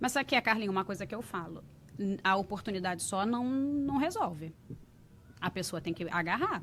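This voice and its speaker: A woman speaks fairly quickly at a medium pitch with lively intonation. Hers is an ordinary speaking voice. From Rio de Janeiro, Brazil (Realengo). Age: 40s. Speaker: entrepreneur, English school owner. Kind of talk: podcast interview.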